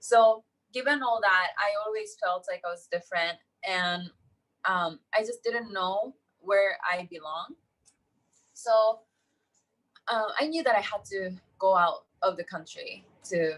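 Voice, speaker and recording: At a fairly slow pace with long, frequent pauses, a woman speaks in a Japanese accent with a medium pitch and ordinary pitch variation. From Japan, countryside. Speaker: entrepreneur. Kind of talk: interview.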